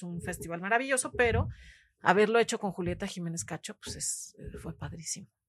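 This woman's voice carries vocal fry and lively intonation. She speaks at a fairly quick pace. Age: 50s. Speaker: poet. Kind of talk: interview conversation.

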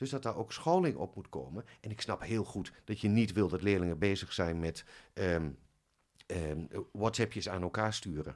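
A man at a fairly slow pace in a very clean recording with a silent background. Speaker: head of music teacher training. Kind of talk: casual interview. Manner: soft-spoken.

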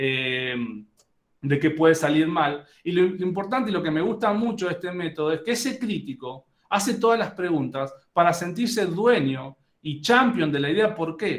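High-pitched male voice with an Argentine accent and lively intonation, plus audible room echo. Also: moderate pace. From Argentina. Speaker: business executive and speaker. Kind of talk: lecture.

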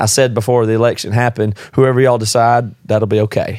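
A man with an American accent, medium pitch, fairly even intonation and a very fast pace. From US South. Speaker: podcast guest. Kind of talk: casual chat.

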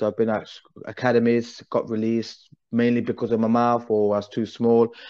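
At a moderate pace and in an East Midlands accent, the voice has a dark, mellow tone against a quiet background. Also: man. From English Midlands (Derby). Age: 30s. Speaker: breakdancer and league organizer. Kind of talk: casual chat.

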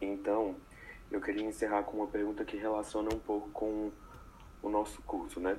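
The intonation is monotone and flat. Long pauses come often. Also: man, fairly low pitch for a man, moderate pace. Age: young. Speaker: architecture student. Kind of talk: interview.

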